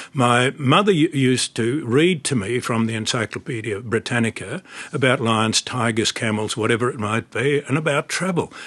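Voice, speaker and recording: Speaking with an Australian accent, a man keeps a moderate pace with hardly any pauses and ordinary pitch variation, recorded in a dry, close sound with no echo. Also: medium pitch for a man. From Australia, rural Victoria (Horsham). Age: 80s+. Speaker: retired barrister and former politician. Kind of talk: interview.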